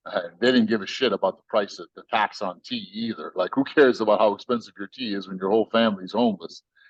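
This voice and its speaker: In a Southern US accent, the voice races at a very fast pace with hardly any pauses and big swings in loudness. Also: man, medium pitch for a man. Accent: Southern US (American). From United States. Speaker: tech company CEO. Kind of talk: podcast interview. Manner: animated, storytelling with voices.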